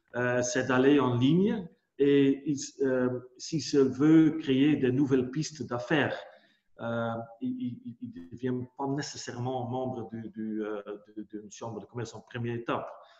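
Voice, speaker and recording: At a fairly slow pace, the voice shows ordinary pitch variation and big swings in loudness. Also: man, medium pitch for a man. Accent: Dutch. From Netherlands. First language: Dutch (speaking French). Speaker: business executive. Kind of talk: webinar presentation. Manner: halting, many hesitations and repetitions.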